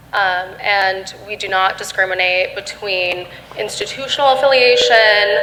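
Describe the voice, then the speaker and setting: A woman with an American accent speaks at a fairly slow pace and medium pitch, with noticeable background noise and audible room echo. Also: ordinary pitch variation. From Michigan. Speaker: security researcher. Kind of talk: panel discussion.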